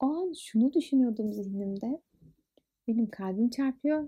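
A woman with an unremarkable speaking voice talks at a fairly slow pace, her fairly high pitch carrying lively intonation. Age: 20s. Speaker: podcast host. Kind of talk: casual monologue.

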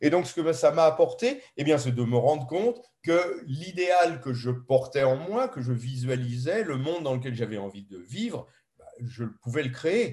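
Somewhat breathy, a man speaks at a moderate pace in a fairly high pitch with ordinary pitch variation. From France, Paris. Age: 70s. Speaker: ethnobotanist and author. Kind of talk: interview conversation. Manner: hesitant, with filler sounds.

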